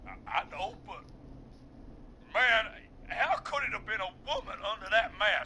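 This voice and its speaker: A man drawls in a put-on character voice at a moderate pace, leaving long, frequent pauses. Clear background noise runs underneath. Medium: video game. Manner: casual, drawling, says man a lot.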